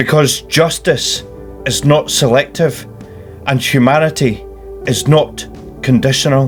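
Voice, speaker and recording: Ordinary pitch variation at a fairly slow pace, with long, frequent pauses and music in the background. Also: man, medium pitch for a man. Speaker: political activist. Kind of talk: personal spoken statement.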